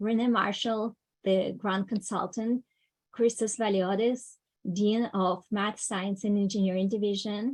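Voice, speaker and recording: A woman with a non-native accent speaks at a fairly slow pace in a fairly high pitch with fairly even intonation, against a quiet background. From Ukraine. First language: not English. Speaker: education program coordinator. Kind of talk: conference opening remarks.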